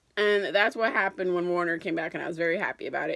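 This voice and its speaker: A woman sounds enthusiastic, her tone bright and sharp, in a very clean recording with a silent background. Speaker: book reviewer. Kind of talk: casual book review to camera. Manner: chatty, enthusiastic.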